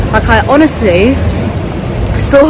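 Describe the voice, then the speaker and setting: A woman in a dry sound with no echo, crowd noise in the background. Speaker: vlogger. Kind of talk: casual vlog chat. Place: street. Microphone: phone near.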